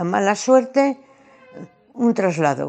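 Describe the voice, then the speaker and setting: A woman's voice with very wide pitch swings. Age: 80s+. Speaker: witness of family history. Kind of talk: testimony. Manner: hesitant.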